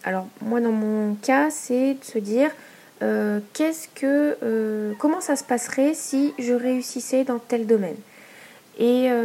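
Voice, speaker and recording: Over noticeable background noise, a woman speaks very slowly in a high pitch with ordinary pitch variation. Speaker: podcaster and small business owner. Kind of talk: solo podcast monologue. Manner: hesitant, many fillers.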